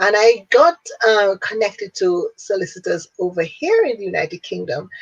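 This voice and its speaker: A woman speaks in a Jamaican accent at a moderate pace. The sound is dry and close, with no echo. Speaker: business owner and networking organizer. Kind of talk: interview.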